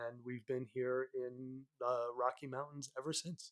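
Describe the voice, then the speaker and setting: Monotone, flat intonation from a man at a medium pitch. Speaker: mental health advocate, former finance worker. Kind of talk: personal testimony in interview.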